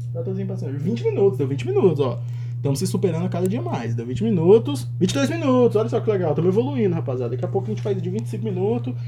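The delivery is very fast and animated. Noticeable background noise runs underneath. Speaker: fan podcast host. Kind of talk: casual solo football chat.

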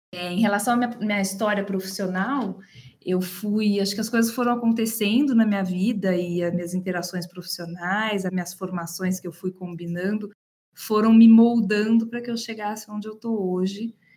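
A woman speaks at a moderate pace in a medium-pitched, somewhat breathy voice. Her intonation stays fairly even. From Brazil, Campinas (interior of São Paulo state). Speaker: HR manager. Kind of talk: interview.

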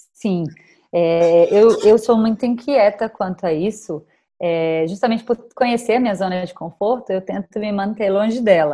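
A woman speaks in a medium-pitched, dark and mellow voice. She keeps a moderate pace with ordinary pitch variation. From Brazil, Bahia (Salvador). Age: 30s. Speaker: travel influencer. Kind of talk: interview conversation.

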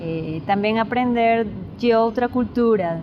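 A woman talks at a fairly slow pace with fairly even intonation. There is noticeable background noise. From Peru, Lima. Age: 20s. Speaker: musician and student. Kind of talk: interview. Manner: halting, code-switching Spanish and Portuguese.

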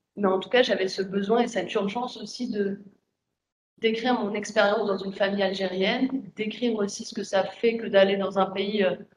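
The woman's intonation stays fairly even while she talks at a moderate pace in a medium pitch. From France. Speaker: writer. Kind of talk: panel discussion. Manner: halting.

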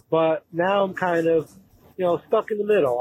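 In an ordinary speaking voice, a man talks at a moderate pace and fairly high pitch with ordinary pitch variation, the sound dry and close with no echo. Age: 30s. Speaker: caller. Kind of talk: recorded voicemail question.

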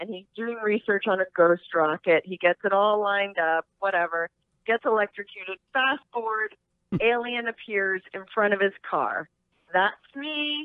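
A plain, everyday voice in an American accent, at a fairly slow pace with ordinary pitch variation. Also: woman, medium pitch for a woman. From greater DC area, US. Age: 40s. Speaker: adult film actress. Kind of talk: casual interview.

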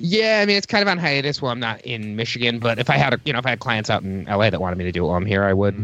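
With lively intonation, a man speaks at a very fast pace with hardly any pauses. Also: medium pitch for a man. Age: 30s. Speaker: podcast guest. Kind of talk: casual chat.

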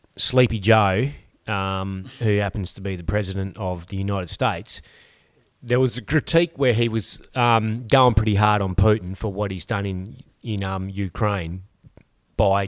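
Speaking in a normal speaking voice, a man with a fairly low pitch moves at a moderate pace, his pitch varying in an ordinary way. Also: very clean recording, silent background. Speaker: podcast host. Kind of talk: casual banter, political chat. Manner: swears often, joking.

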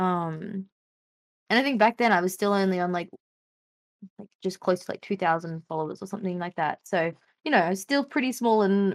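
Here a woman has an ordinary speaking voice at medium pitch. She speaks at a moderate pace. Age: 20s. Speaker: streamer and game design student. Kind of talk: casual chat.

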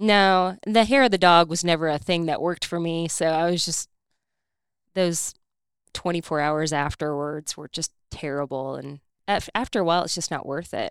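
In a normal speaking voice, a woman with an American accent and a fairly low pitch talks at a moderate pace with ordinary pitch variation, in a very clean, dry, close recording with a silent background and no echo. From Indiana. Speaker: fitness coach. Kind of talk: casual chat.

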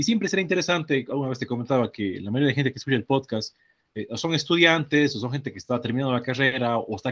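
A man moves at a very fast pace, his pitch varying in an ordinary way. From Ecuador, Cuenca. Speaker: podcast host, industrial engineer. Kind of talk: interview.

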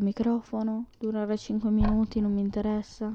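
A woman's fairly high voice with a dark, mellow tone at a moderate pace. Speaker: podcaster. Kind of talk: casual monologue. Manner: halting. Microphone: new USB microphone.

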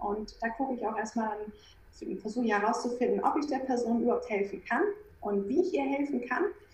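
A woman with a high voice and lively intonation talks at a fairly quick pace, with noticeable background noise behind her. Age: 30s. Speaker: acne and skin health coach. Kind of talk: interview.

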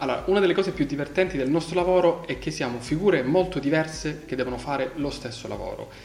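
Over noticeable background noise, a man talks at a very fast pace with hardly any pauses. His voice sits at a fairly high pitch with ordinary pitch variation. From Calabria, southern Italy (Crotone). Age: 30s. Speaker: telecommunications engineer. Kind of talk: interview. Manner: hesitant, with fillers.

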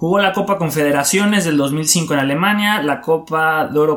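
This man has an unremarkable speaking voice, fairly high in pitch, with lively intonation at a moderate pace. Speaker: sports podcast co-host. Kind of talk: casual chat.

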